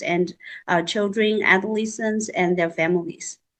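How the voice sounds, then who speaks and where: A woman talks with a Chinese accent. Her pace is fairly slow. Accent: Mandarin Chinese-accented English. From central mainland China. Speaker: psychological counselor and school counselor. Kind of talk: panel self-introduction. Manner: halting, many fillers.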